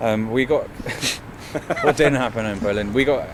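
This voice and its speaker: There is noticeable background noise behind this man. He speaks at a moderate pace with a medium pitch. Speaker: band member. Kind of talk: interview.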